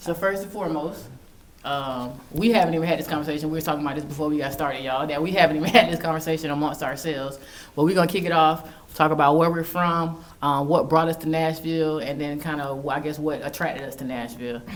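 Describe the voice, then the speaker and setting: Speaking very fast with an American accent, this voice shows ordinary pitch variation amid noticeable background noise and audible room echo. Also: woman, very deep, low pitch for a woman. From Jacksonville, Florida. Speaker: podcast co-host. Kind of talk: casual chat.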